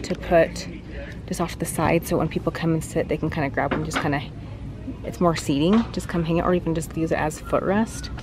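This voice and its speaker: A woman talks at a fairly quick pace. Noticeable background noise sits behind her. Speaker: home vlogger. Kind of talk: casual vlog chat. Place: shop. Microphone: phone near.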